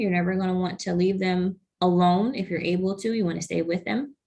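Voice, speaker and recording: A woman talks at a medium pitch, her voice somewhat breathy. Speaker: program coordinator for nonprofit health foundation. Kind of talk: webinar presentation.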